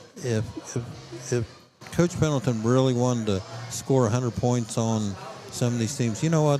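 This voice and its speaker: A man talks at a medium pitch. His pitch varies in an ordinary way while music plays behind him. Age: 70s. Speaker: football assistant coach. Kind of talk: interview. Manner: animated, emphatic.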